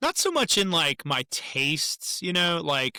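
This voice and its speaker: At a fairly slow pace, a man with a high, bright, sharp voice is heard in a dry, close sound with no echo on a very clean recording with a silent background. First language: German. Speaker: musician and army veteran. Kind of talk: interview. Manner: halting.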